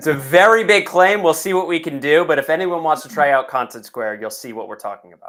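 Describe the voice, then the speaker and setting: A man with an American accent talks at a very fast pace, his pitch fairly high and his intonation lively. His loudness swings widely, and music plays in the background. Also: hardly any pauses. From United States. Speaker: software executive, customer onboarding. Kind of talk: webinar interview.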